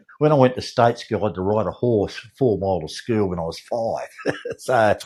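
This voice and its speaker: A man with an Australian accent talks at a fairly quick pace, his fairly low pitch showing ordinary variation. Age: 70s. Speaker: lawn mowing contractor. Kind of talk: casual chat. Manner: halting.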